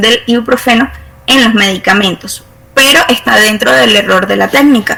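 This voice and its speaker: A woman's fairly high voice comes through alongside noticeable background noise. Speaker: university chemistry lecturer. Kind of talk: online lecture. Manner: halting, many fillers.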